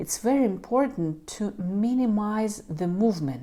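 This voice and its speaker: In a non-native accent, a woman speaks at a very slow pace with a medium pitch, a dark, mellow tone and very wide pitch swings, on a very clean recording with a silent background. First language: not English. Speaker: knitting youtuber. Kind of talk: tutorial. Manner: halting.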